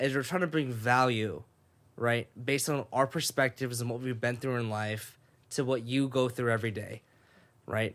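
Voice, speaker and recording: Recorded very cleanly against a silent background, a man with an American accent and a medium pitch speaks at a moderate pace with ordinary pitch variation. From Sacramento, California (raised partly in Japan until fourth grade). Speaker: podcast host. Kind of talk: casual chat.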